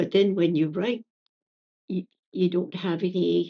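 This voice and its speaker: At a very slow pace, a woman speaks with an Acadian accent. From Acadian New Brunswick, Canada. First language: French. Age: 70s. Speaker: poet. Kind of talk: interview conversation. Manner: halting, many fillers and repetitions.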